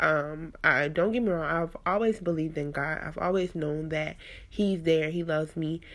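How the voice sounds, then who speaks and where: A woman with a very deep, low pitch in a very clean recording with a silent background. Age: 20s. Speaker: podcast host. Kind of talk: casual monologue. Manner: conversational, many fillers.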